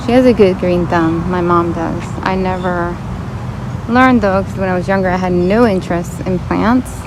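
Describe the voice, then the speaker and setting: Clear echo from the room and evident background noise accompany a woman talking at an unhurried, medium speed. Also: medium pitch for a woman. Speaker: plant vlogger. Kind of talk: casual vlog walkthrough. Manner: animated.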